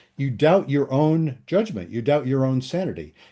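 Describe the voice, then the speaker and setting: A man's fairly high, dark and mellow voice with very wide pitch swings, at a moderate pace over a quiet background. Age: 70s. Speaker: psychologist and couples therapist. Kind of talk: interview. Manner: halting, many fillers.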